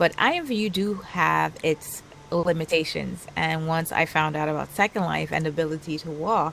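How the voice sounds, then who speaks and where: Over music in the background, a soft-spoken woman with a Trinidadian accent talks at a moderate pace in a fairly low pitch with ordinary pitch variation. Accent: Caribbean (Trinidadian). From Trinidad and Tobago. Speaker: virtual world influencer. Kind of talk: casual interview chat.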